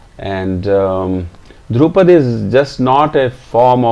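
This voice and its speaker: With an Indian accent, a man speaks at a very slow pace. His pitch variation is ordinary. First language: Hindi. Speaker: classical singer. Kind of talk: self-introduction. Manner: halting.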